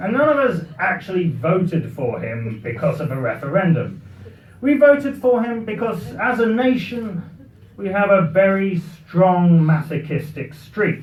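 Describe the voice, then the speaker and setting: With a British accent and a high pitch for a man, a man speaks fairly slowly in very wide pitch swings, with audible room echo and noticeable background noise. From Britain. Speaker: comic speaker. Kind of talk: after-dinner humorous speech. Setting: party with audience.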